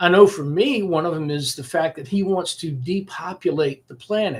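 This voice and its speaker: Moderate pacing from a man, high-pitched, with ordinary pitch variation. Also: big swings in loudness. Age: 60s. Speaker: political commentary vlogger. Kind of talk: casual monologue to camera. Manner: sarcastic.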